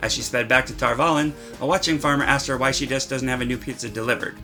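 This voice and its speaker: Against music in the background, a man talks at a very fast pace. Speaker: satirical news anchor. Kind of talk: mock news broadcast, tabloid satire.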